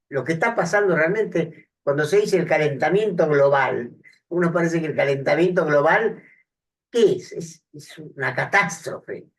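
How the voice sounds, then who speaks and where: Moderate in pace, a man speaks with a high pitch and ordinary pitch variation. His loudness swings widely. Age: 70s. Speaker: psychiatrist and speaker. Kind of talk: public talk with audience discussion. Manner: halting, many fillers.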